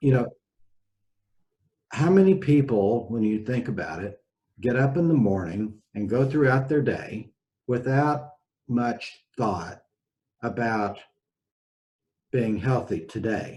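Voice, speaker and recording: A man speaks at a medium pitch with a somewhat breathy voice and lively intonation. His delivery is very slow, broken by long, frequent pauses. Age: 60s. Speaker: physician. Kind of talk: casual interview chat.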